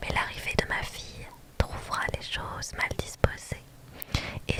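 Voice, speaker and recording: Whispering from a woman, very slow, over noticeable background noise. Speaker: ASMR content creator. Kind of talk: dramatic reading of a classic play, all parts by one reader. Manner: whispered, soft-spoken.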